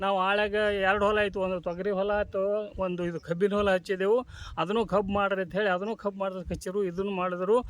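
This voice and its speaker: A man with a high-pitched voice. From northern Karnataka, Vijayapura district. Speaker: retired teacher and farmer. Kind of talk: interview testimony.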